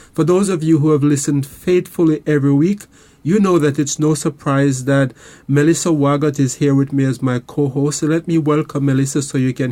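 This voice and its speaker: A man with a Caribbean accent speaks fairly quickly in a fairly high voice. His tone is dark and mellow, and his intonation fairly even. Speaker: counselor and radio host. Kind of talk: radio show talk; promotional appeal. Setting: studio. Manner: calm, relaxed.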